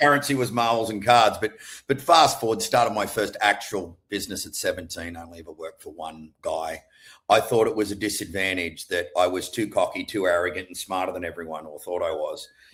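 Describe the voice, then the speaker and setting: An Australian accent from a man at a fairly quick pace, on a very clean recording with a silent background. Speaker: entrepreneur. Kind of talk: casual interview chat.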